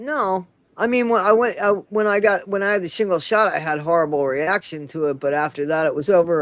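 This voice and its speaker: A woman talks at a fairly quick pace in an ordinary speaking voice. Her medium pitch moves with lively intonation. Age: 60s. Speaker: livestream host. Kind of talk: casual chat.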